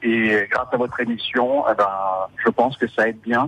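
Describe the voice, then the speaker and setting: This man's voice sits at a medium pitch and stays monotone, with flat intonation throughout. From French Basque Country, Bayonne. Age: 40s. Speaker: ship worker. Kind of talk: radio interview. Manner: halting, many hesitations.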